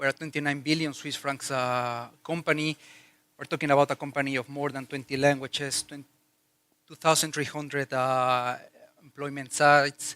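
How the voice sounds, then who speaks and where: A man with a Mexican accent speaks at a moderate pace in a fairly high, bright and sharp voice, his intonation monotone and flat, his loudness swinging widely, the sound dry and close with no echo. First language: Spanish. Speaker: corporate HR executive. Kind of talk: conference talk. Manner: hesitant, many fillers.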